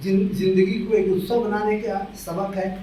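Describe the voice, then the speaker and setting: Through audible room echo and noticeable background noise, a man speaks with a high pitch. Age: 70s. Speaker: senior poet and literary critic. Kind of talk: speech at a book launch event.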